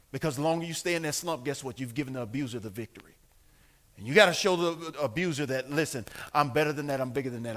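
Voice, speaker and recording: A man speaks in an animated tone that is bright and sharp. The recording is very clean, with a silent background. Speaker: pastor. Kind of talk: bible study teaching. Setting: church.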